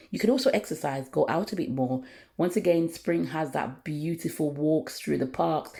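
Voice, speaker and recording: A woman with a very deep, low pitch, a dark, mellow tone and vocal fry speaks with lively intonation. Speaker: natural hair care vlogger. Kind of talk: tutorial. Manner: fast.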